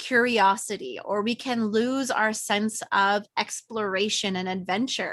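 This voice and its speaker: Speaking in a plain, everyday voice with a Canadian accent, the speaker goes at a fairly slow pace with fairly even intonation against a quiet background. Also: woman. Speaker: podcast host. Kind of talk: interview.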